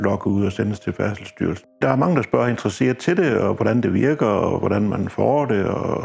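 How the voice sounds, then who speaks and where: A man at a moderate pace and fairly low pitch, hardly any pauses, music in the background. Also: lively intonation. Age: 60s. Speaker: customer testimonial, recovering alcoholic. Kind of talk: testimony. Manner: halting, many hesitations.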